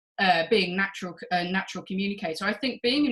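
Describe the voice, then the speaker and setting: Speaking at a fairly quick pace, a woman with an English accent uses a medium pitch and ordinary pitch variation. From England. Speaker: journal editor, former PhD researcher. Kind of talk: interview.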